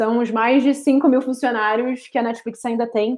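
A woman's high-pitched voice at a moderate pace. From Rio de Janeiro, Brazil. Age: 30s. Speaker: marketing professional. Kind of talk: interview. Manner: articulate.

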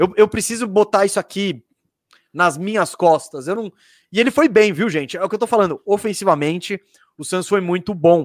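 The recording has a dry, close sound with no echo, carrying a man's high-pitched voice. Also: ordinary pitch variation, moderate pace, very clean recording, silent background. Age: 30s. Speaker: basketball podcast host. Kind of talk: casual sports talk.

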